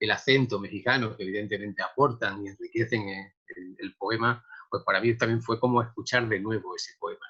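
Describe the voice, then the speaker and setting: A man with a bright, sharp tone speaks fairly quickly at medium pitch, keeping his intonation fairly even. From Andalusia, Córdoba (Spain). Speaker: poet. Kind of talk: interview. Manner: halting, many repetitions.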